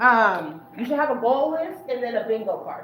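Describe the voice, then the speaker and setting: Lively intonation at a moderate pace, with noticeable background noise and audible room echo. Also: woman. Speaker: workshop facilitator. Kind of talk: workshop presentation. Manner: casual, conversational.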